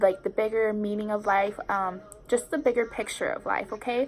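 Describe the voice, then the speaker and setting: A woman speaks at a fairly high pitch. Her intonation is fairly even. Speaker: spiritual YouTuber and tarot reader. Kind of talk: casual vlog talk. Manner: fast.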